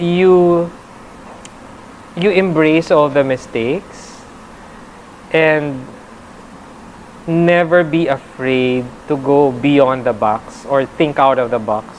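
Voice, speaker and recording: A woman with a very deep, low pitch speaks at a very slow pace with ordinary pitch variation, amid noticeable background noise. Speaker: reporter and stand-up comedian. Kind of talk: interview. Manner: halting.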